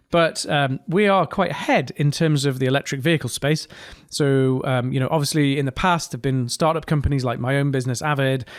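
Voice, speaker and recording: With a northeast English accent, this man talks at a fairly quick pace in a fairly high pitch, his pitch varying in an ordinary way on a very clean recording with a silent background. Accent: mild northeast English. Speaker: podcast host, engineer. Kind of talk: casual podcast monologue. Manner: hesitant, many fillers.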